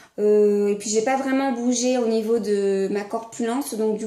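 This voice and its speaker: A woman speaks in a fairly high pitch with monotone, flat intonation, amid audible room echo and noticeable background noise. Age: 20s. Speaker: vlogger. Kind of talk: casual chat. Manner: halting, many hesitations.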